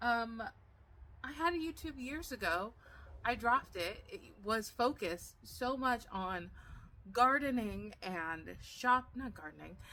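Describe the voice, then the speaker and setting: Speaking at a fairly slow pace, a woman uses a fairly high pitch with very wide swings, a bright, sharp tone, and big swings in loudness. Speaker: gardening vlogger. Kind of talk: casual chat. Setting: outdoors. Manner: mumbled, not enunciated.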